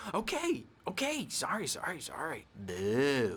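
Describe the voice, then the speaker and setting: Using a put-on character voice, a man speaks fairly slowly at a fairly high pitch. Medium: video game. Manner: giggly, taunting, childish.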